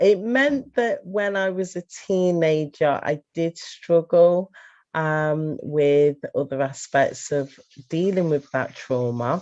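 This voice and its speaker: Lively intonation from a woman with an English accent, fairly low in pitch, at a very slow pace. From England. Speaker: lifestyle coach. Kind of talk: testimony. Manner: halting.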